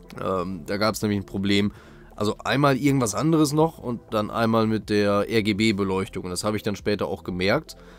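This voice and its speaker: Music plays behind a man's voice. His pitch is fairly low, with ordinary variation. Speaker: tech YouTuber. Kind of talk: product review. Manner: casual, many filler sounds.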